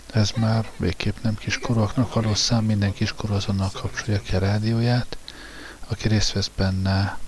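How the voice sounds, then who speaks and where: The speech is monotone and flat, delivered at a moderate pace with a Hungarian accent. Noticeable background noise sits under the voice. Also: man. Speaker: radio host. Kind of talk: presenting a music show in Hungarian, introducing and commenting on songs.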